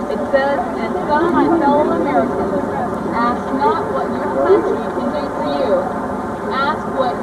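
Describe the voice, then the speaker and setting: Speech at a fairly slow pace comes through loud background noise. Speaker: teacher or trip leader. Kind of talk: reading inscription aloud to students. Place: rain. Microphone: old recording.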